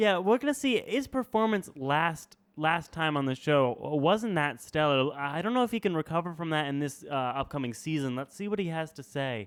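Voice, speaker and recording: An unremarkable speaking voice from a man, fairly high in pitch, at a moderate pace with hardly any pauses and lively intonation, on a very clean recording with a silent background. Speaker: college radio podcast co-host. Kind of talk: casual comedic chat. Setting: college radio studio.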